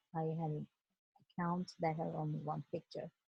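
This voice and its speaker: A woman's fairly low, somewhat breathy voice with a dark, mellow tone and a Turkish accent, at a moderate pace, with a dry, close sound and no echo. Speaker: educator. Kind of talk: presentation. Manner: halting, many fillers.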